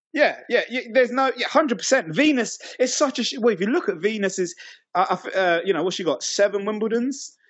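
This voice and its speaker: Here a man speaks at an extremely high pitch. His intonation is lively and his pace moderate. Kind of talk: heated debate.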